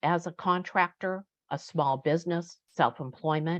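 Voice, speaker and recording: A woman's fairly low-pitched, unremarkable speaking voice at a fairly slow pace. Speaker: vocational rehabilitation employment specialist. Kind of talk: webinar presentation.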